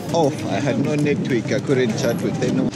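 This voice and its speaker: Loud background noise sits under the speech. The pace is fairly quick, with ordinary pitch variation. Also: man. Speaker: travel vlogger. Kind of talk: casual vlog chat. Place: market. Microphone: phone near.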